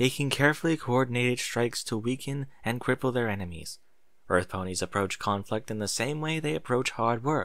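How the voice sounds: What we hear is a natural reading voice.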